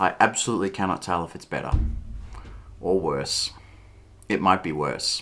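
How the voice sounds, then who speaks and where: With music in the background, a man with a very deep, low pitch talks at a moderate pace, using ordinary pitch variation, long, frequent pauses and big swings in loudness. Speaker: vlogger. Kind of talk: casual vlog monologue. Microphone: new cheap USB microphone, some static.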